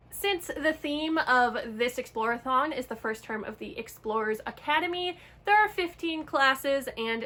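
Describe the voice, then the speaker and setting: Against noticeable background noise, a woman with a high pitch speaks with lively intonation. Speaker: book vlogger. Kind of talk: casual vlog talk.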